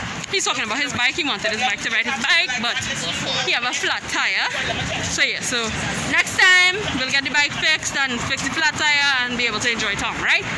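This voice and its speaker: Music plays in the background. The speaker talks at a fairly quick pace. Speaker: vlogger mother. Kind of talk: casual vlog chat. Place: street. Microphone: phone near.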